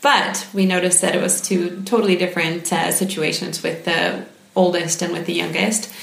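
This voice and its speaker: With an American accent, a woman talks at a moderate pace with fairly even intonation and a fairly low pitch over noticeable background noise. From United States. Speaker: parent. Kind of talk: interview.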